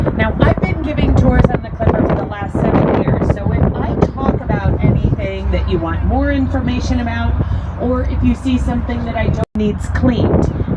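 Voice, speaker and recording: Amid audible room echo and noticeable background noise, a woman speaks with a very deep, low pitch. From Pittsburgh, Pennsylvania. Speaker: boat tour guide. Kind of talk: guided tour commentary.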